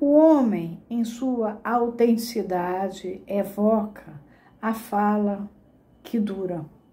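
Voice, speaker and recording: A woman's fairly high, somewhat breathy voice with a dark, mellow tone and a Carioca accent, at a very slow pace, with ordinary pitch variation and audible room echo. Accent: Carioca (Rio de Janeiro). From Brazil, Rio de Janeiro. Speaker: psychoanalysis teacher. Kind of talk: lecture.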